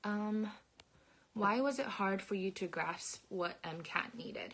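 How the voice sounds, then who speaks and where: A woman with a non-native accent and ordinary pitch variation. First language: not English. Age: 20s. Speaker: medical student. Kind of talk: live stream Q&A. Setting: live video stream. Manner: halting.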